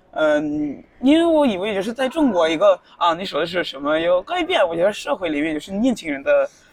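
Speaking fairly quickly with a non-native accent, a woman at medium pitch swings her pitch very widely and hardly pauses, with noticeable background noise behind her. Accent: foreign, non-native Mandarin. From Norway (Tromsø). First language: Norwegian (speaking Chinese). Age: 20s. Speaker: university student. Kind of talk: casual interview. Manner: halting. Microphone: poor recording quality.

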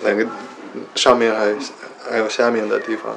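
Audible room echo surrounds a man's voice. There is also noticeable background noise. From Washington D.C., US. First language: English (speaking Chinese). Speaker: rock climber teaching climbing English. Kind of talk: casual bilingual chat. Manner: hesitant, mixes English and Chinese.

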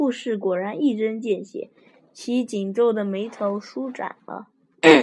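The voice sounds natural. It is reading aloud.

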